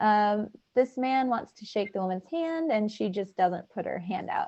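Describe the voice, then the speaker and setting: A woman with a normal speaking voice talks at a moderate pace. Her pitch is fairly high and her intonation lively. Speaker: refugee volunteer trainer. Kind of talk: training session.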